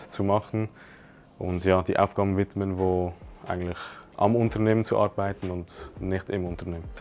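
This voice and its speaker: At a moderate pace, a man talks in a flat monotone with a fairly low pitch. The recording is very clean, with a silent background. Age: 20s. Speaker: e-commerce entrepreneur. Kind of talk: testimonial interview. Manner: hesitant with fillers.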